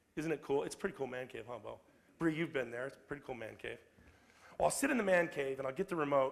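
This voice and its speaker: Animated and very fast, a man speaks at a fairly high pitch with vocal fry, ordinary pitch variation and big swings in loudness. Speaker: motivational speaker. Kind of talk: public talk.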